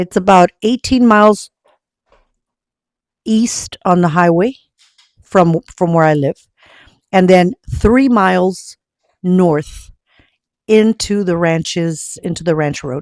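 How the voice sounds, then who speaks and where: In a dry, close sound with no echo, a woman speaks very slowly with long, frequent pauses. Her medium-pitched voice has an American accent and ordinary pitch variation. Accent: Mexican American Texan English. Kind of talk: casual talk to camera. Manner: code-switching Spanish and English.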